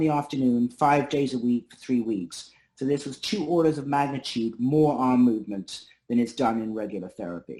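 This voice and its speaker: His pitch is fairly high, varying in an ordinary way. The man uses a plain, everyday voice at a moderate pace. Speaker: neurologist and researcher. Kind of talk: academic seminar talk.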